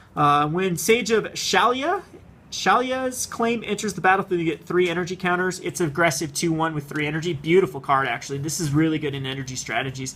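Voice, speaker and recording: Talking at a fairly quick pace, a man uses a high pitch and lively intonation. Noticeable background noise runs under his voice. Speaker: card game youtuber. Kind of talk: product unboxing commentary. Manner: fast; rambling, casual.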